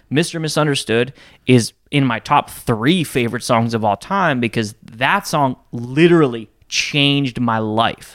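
A man with an unremarkable speaking voice talks at a medium pitch and a fairly slow pace with ordinary pitch variation, on a very clean recording with a silent background. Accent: American. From rural US, grew up on a farm. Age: 20s. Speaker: musician. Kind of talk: casual chat.

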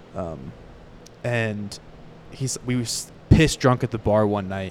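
A man talks at a very slow pace. He has an American accent. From Florida, Fort Myers. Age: 20s. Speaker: podcast host. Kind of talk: casual interview chat. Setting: live at a country music venue.

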